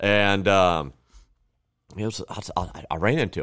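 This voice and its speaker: Male speech, very clean recording, silent background. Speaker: podcast guest. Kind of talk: casual chat.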